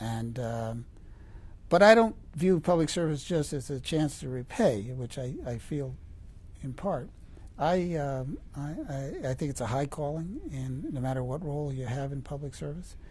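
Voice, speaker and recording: A fairly high-pitched man with an American accent, somewhat breathy, at a fairly slow pace with ordinary pitch variation. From New York state, small town. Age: 70s. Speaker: federal appeals judge. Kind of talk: interview. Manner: halting.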